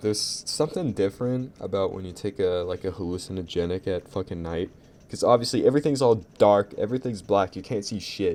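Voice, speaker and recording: A man's fairly low-pitched voice, fairly quick, with a dark, mellow tone. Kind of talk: casual storytelling to camera. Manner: stuttering, sputtering; rambling, profane.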